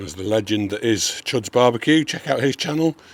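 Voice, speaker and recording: Lively intonation from a man at medium pitch, a fairly quick pace, and noticeable background noise. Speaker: barbecue cooking youtuber. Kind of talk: cooking tutorial. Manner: casual, conversational.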